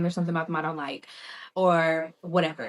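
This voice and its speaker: Speaking at a very fast pace and a fairly low pitch, a woman talks with a slight Southern US accent. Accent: slight Southern country twang. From US South. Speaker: spiritual tarot reader. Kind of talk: tarot reading. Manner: casual, conversational.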